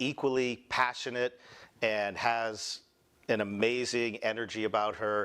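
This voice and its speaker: A man with a slight Boston accent talks at a fairly slow pace and medium pitch. The recording is very clean, with a silent background. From Boston, US. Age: 40s. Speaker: medical spa founder, former finance executive. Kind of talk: conference presentation. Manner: casual.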